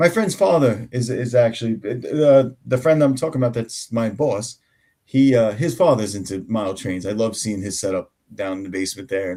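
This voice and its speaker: Speaking at a fairly quick pace, a man with a strong New York accent uses lively intonation, a dark, mellow tone and medium pitch on a very clean recording with a silent background. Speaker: tabletop game master and homebrewer. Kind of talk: casual chat. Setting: live stream.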